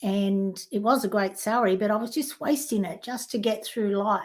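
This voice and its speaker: A woman with an Australian accent and ordinary pitch variation, in a very clean recording with a silent background. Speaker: life coach. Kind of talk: interview.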